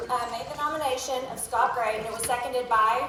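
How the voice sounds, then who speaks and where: A woman speaks at a high pitch and a moderate pace, with fairly even intonation. Audible room echo and noticeable background noise are present. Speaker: meeting chair. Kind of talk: formal meeting proceedings.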